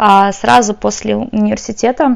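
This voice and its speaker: A woman is speaking. Her pace is very slow. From Ukraine, moved to Ireland as a teen. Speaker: tech company support specialist. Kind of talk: casual chat.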